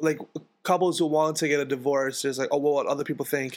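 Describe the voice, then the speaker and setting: This very clean recording has a silent background. A man with a New York accent talks at a fairly quick pace in a fairly high voice. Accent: New York American. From US, Queens, New York. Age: 20s. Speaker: musician. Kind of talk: casual chat. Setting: home.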